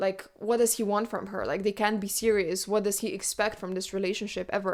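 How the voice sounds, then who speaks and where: With a non-native accent, a woman of medium pitch talks at a fairly quick pace on a very clean recording with a silent background. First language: not English. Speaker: book podcast host. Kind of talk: casual chat. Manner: animated.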